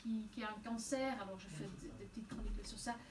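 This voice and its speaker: A woman with a Flemish accent at a moderate pace, amid audible room echo and noticeable background noise. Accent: Flemish Dutch accent in French. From Flanders, Belgium (near Antwerp). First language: Dutch (speaking French). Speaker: novelist. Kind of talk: interview. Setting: bookshop event with audience. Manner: halting, many repetitions and hesitations.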